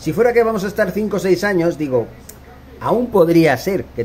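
An animated, high-pitched male voice with lively intonation at a moderate pace. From Barcelona, Spain. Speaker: football commentator YouTuber. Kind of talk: opinion monologue.

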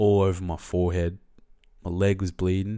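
In a very clean recording with a silent background, a man with an Australian accent speaks at a moderate pace in a very deep, low pitch and a flat, monotone delivery. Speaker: podcast host. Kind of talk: casual storytelling monologue.

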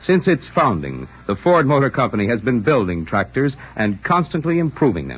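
Vocal fry runs through speech at a moderate pace with hardly any pauses. The pitch makes very wide swings. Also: man, medium pitch for a man. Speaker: radio announcer. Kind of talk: radio announcer reading commercials and credits. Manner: formal, smooth, brisk.

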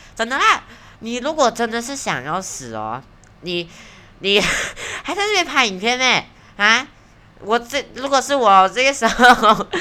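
A woman speaks at a fairly high pitch with lively intonation and an animated tone. Her pace is fairly slow. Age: 20s. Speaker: podcast host. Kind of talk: casual monologue. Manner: animated, rambling with fillers.

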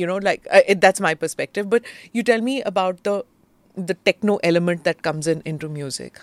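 Woman with an Indian accent, medium pitch and ordinary pitch variation, in a very clean recording with a silent background and a dry, close sound with no echo. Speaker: podcast host. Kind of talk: interview.

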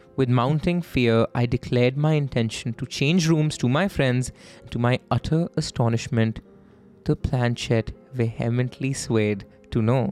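A man's medium-pitched voice with ordinary pitch variation, dry and close with no echo, over music in the background. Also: fairly slow pace. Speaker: podcast host. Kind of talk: horror story narration read aloud. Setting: studio.

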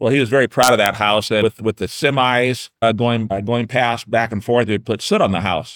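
Hardly pausing, a man speaks at a fairly quick pace with a medium pitch and fairly even intonation. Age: 60s. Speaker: city councilman. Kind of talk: casual chat. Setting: studio.

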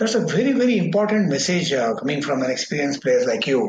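A man with an Indian accent talks at a very fast pace with very wide pitch swings. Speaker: mental conditioning coach and author. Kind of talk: interview, formal host.

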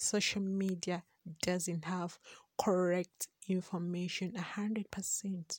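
A woman speaks at a medium pitch with flat, monotone intonation. The sound is dry and close, with no echo. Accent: Ugandan. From Uganda. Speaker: podcast host. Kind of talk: monologue podcast intro.

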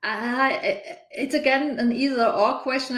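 Audible room echo surrounds a speaker with a German accent. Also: woman. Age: 50s. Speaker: organizational consultant. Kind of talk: interview.

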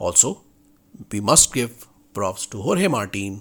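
A man is speaking. His pace is fairly slow. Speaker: motorsport podcast host. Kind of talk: race report recap narrated in the manner of live commentary.

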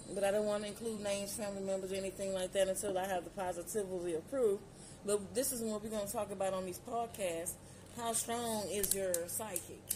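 Talking at a very fast pace, a woman with a medium-pitched voice comes through over noticeable background noise. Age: 40s. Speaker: solo podcaster. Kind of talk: casual monologue. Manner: animated.

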